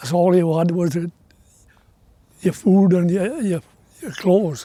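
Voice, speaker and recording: A man with a South Wales accent speaks at a fairly slow pace. His voice is high and his tone dark and mellow. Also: ordinary pitch variation. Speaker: former coal miner. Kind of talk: documentary interview.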